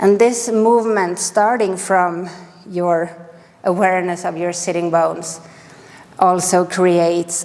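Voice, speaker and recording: Speaking in a strong Swedish accent, a woman talks at a very slow pace with a fairly low pitch and fairly even intonation. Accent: heavy Swedish. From Sweden. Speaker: yoga teacher. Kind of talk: guided yoga class. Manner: calm, gentle.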